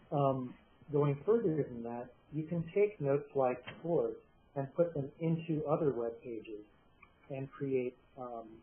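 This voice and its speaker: A man with a fairly high voice speaks quietly and fairly slowly, with ordinary pitch variation, big swings in loudness, and long, frequent pauses. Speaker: software developer presenting a product. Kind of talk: webinar presentation. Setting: online meeting.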